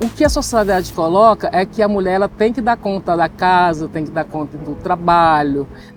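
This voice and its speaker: Over music in the background, a woman with a fairly low pitch and ordinary pitch variation speaks at a moderate pace, with hardly any pauses. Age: 60s. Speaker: interviewee, communications worker. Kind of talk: interview.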